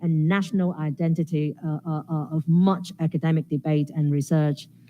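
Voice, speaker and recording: A woman is speaking. Her voice has a dark, mellow tone. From Hong Kong. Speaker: sociology professor. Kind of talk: academic Q&A answer. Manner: halting, repeated words.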